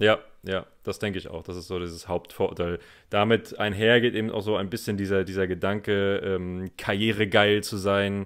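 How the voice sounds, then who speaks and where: His intonation stays flat and monotone. The man keeps a moderate pace. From northeastern Germany, Rostock. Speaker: podcast co-host, German teacher. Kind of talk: casual conversation for German learners.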